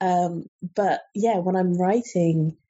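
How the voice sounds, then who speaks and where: A woman's plain, everyday voice, fairly low in pitch with fairly even intonation. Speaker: book editor and reviewer. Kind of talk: interview.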